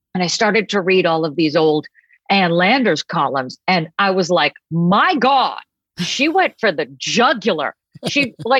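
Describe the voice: A woman with an American accent and a medium pitch, fairly slow in pace, very even in volume and very wide in pitch swings, recorded dry and close with no echo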